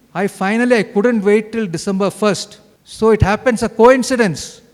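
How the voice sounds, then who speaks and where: A man with a high-pitched voice speaks in a South Indian accent. His tone is animated. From India, Bengaluru. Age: 60s. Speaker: cancer survivor, retired engineer. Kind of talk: testimony talk. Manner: animated, conversational.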